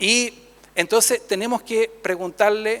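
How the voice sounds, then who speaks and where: A man's bright, sharp-toned voice comes at a fairly slow pace. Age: 60s. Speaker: priest and theologian. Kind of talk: conference talk. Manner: conversational, with fillers.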